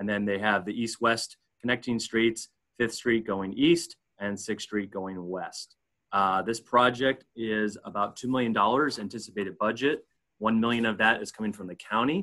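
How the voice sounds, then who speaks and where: Against a quiet background, a man speaks at a moderate pace with fairly even intonation and a bright, sharp tone. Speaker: staff presenter; presenter. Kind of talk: presentation. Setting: video call. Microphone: video call.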